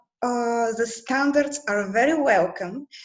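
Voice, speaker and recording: A woman with a Bulgarian accent speaks at a high pitch. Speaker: translator at a European institution. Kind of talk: group video call discussion. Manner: halting, many fillers.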